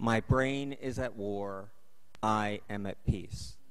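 Ordinary pitch variation from a man, quiet background behind him. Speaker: council member. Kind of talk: formal statement at public meeting. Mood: earnest, personal. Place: hall. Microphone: podium.

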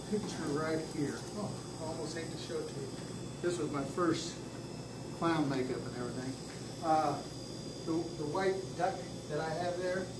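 Loud background noise fills the clip. The speaker keeps a moderate pace with long, frequent pauses. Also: man. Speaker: presenter. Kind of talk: informal talk to a club meeting. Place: meeting room. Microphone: camera far.

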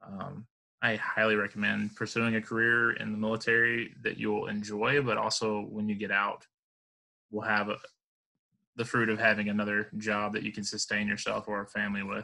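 In an American accent, a man with a fairly low voice and a bright, sharp tone speaks at a fairly quick pace in a flat monotone over a quiet background. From Alabama, US South. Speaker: Marine Corps veteran; interview guest. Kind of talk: casual interview chat. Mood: relaxed, reflective. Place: home room. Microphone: headset.

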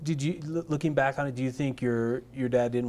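A plain, everyday voice speaking at a fairly quick pace. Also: man. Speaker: oral history interviewer. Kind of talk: interview questions. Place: studio.

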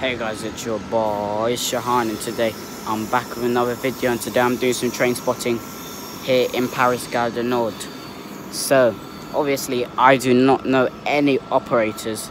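Noticeable background noise surrounds a man speaking at a moderate pace in a monotone, flat intonation, the sound dry with no echo. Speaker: trainspotting vlogger. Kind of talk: casual vlog chat. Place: station. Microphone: phone near.

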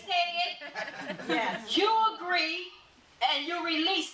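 A woman's raised, projected voice at an extremely high pitch and very slow pace, over noticeable background noise. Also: big swings in loudness. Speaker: church elder, preacher / teacher; preacher, teacher. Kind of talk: sermon-style teaching. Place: church. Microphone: camera far.

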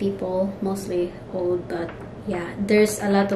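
Against noticeable background noise, a woman speaks very slowly in a monotone, flat intonation. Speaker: vlogger. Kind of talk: casual vlog chat. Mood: relaxed, cheerful. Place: home room. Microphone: phone near.

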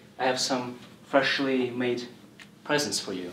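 A man speaks at a moderate pace. Audible room echo and light background noise are present. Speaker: presenter. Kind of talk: lecture. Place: classroom. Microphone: camera far.

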